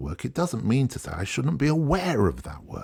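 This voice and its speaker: A breathy man's voice with vocal fry, on a very clean recording with a silent background. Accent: English. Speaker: podcast host and photographer. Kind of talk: solo podcast monologue. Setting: garage. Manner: casual with fillers.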